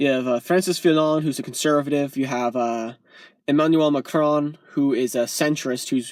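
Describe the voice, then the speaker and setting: Fairly high pitch from a man. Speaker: YouTuber. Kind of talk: political rant vlog. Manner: fast; animated.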